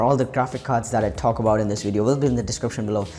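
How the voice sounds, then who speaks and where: Music sounds in the background. A man's pitch varies in an ordinary way. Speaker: tech YouTuber. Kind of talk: tech tutorial. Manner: fast.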